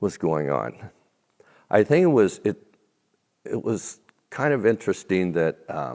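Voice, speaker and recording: A man with an American accent talks at a very deep, low pitch with vocal fry and very wide pitch swings. His pace is fairly slow with long, frequent pauses, and the recording is very clean over a silent background. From United States, Irish heritage. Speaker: minister, guest speaker. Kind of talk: interview. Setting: stage. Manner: loud.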